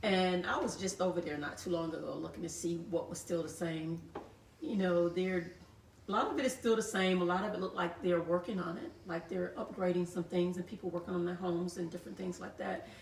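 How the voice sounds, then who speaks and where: American accent from a woman of fairly low pitch, fairly even in intonation, with noticeable background noise. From US South, Georgia (Thomasville). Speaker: author, photographer and historian. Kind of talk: interview on live show.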